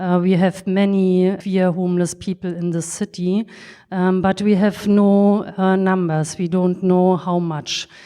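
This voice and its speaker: In a German accent, a woman speaks with a dark, mellow tone. The background is quiet. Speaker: social worker. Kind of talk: panel discussion. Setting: stage with audience. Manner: halting.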